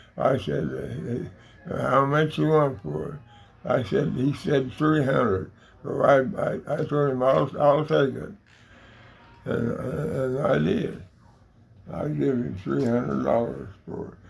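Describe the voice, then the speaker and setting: Speaking very slowly with long, frequent pauses, a man with an American accent is heard with audible room echo. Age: 80s+. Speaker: elderly storyteller. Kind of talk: casual chat. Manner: halting, repetitive stammering.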